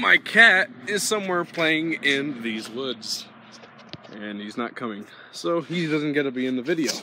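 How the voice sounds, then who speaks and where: A man at a fairly slow pace, with a dry sound with no echo and light background noise. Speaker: small youtuber. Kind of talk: casual vlog chat. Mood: warm, earnest. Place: garden. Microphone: phone near.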